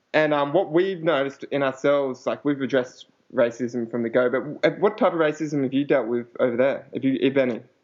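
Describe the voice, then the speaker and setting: This man has an Australian accent and a fairly high pitch. He speaks at a fairly quick pace. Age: 20s. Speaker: podcast host. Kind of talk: casual chat.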